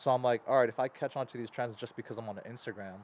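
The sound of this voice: Fairly even intonation at a very fast pace. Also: man, medium pitch for a man.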